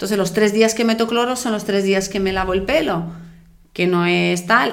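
This is a woman talking. Her voice has audible room echo. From outside Spain. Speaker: triathlon podcast co-host. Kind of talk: casual chat.

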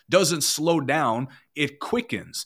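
An unremarkable speaking voice from a man, fairly high-pitched with lively intonation. The recording is very clean, with a silent background. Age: 20s. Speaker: online evangelist. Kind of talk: casual chat.

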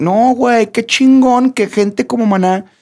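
A man is speaking. His intonation is lively. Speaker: podcast co-host and singer. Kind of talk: casual chat.

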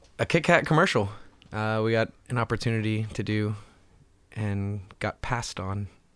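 A man with an American accent and an ordinary speaking voice at a moderate pace, on a very clean recording with a silent background. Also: fairly low pitch for a man, ordinary pitch variation. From Houston, Texas. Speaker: musician. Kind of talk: casual interview.

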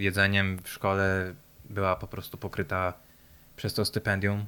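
A man's bright, sharp, monotone voice with flat intonation on a very clean recording with a silent background. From Poland. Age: 20s. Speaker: interviewee, Polish emigrant in Australia. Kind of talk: casual interview conversation. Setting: in-person at his home.

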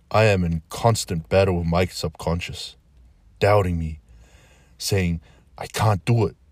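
The recording is very clean with a silent background. A man speaks at a moderate pace in a somewhat breathy voice with ordinary pitch variation. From New Zealand, South Auckland. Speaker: podcast host. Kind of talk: spoken-word monologue.

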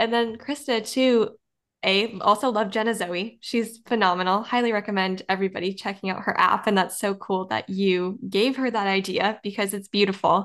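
An unremarkable speaking voice from a woman, medium in pitch, at a moderate pace with fairly even intonation, over a quiet background. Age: young. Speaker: podcast host. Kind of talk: interview.

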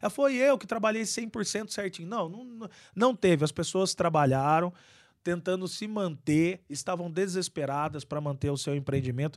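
Lively intonation carries speech delivered at a moderate speed. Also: man, high pitch for a man, very clean recording, silent background. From Araras, São Paulo state, Brazil. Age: 30s. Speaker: city council president. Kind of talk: interview.

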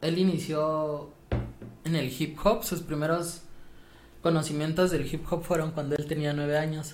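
Amid audible room echo, a man speaks fairly slowly in a fairly high, monotone voice with flat intonation and long, frequent pauses. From Mexico City. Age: 20s. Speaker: podcast guest, former student. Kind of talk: casual chat.

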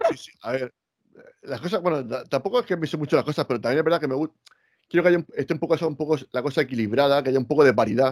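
Recorded with a dry, close sound and no echo, a man talks very fast in a fairly high voice with ordinary pitch variation. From Spain, Murcia. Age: 40s. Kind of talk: casual chat.

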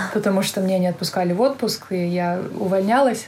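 Her pitch sits in the medium range for a woman. She speaks at a moderate pace. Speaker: emigrant entrepreneur. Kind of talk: casual interview. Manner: hesitant, many fillers.

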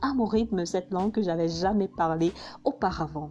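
This woman's voice is somewhat breathy, with a dark, mellow tone at medium pitch. Her intonation is lively. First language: Hausa (speaking French). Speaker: vlogger. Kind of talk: personal narration.

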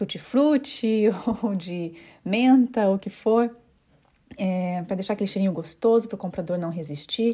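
The voice has a dark, mellow tone and moves at a moderate pace with ordinary pitch variation. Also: woman. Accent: Curitiba. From Brazil, Curitiba. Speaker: home staging consultant and podcast host. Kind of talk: solo informational podcast monologue. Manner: hesitant, with frequent fillers.

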